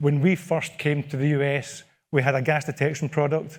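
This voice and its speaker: A man with a Scottish accent speaks in a fairly high pitch at a moderate pace, somewhat breathy. The recording is very clean with a silent background. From Scotland. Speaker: product manager. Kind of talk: conference presentation. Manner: repetitive false starts.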